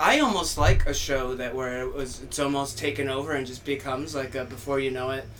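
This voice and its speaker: A man is heard over noticeable background noise, with audible echo from the room. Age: 30s. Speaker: stand-up comedian. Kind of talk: casual chat.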